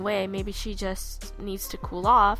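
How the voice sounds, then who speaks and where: Music plays in the background as a woman talks fairly slowly with monotone, flat intonation. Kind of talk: casual rant to camera. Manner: upset, emphatic.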